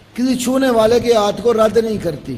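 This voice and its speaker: Speech at a very slow pace with fairly even intonation carries audible room echo and noticeable background noise. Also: man. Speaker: Islamic scholar answering questions. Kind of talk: religious Q&A lecture.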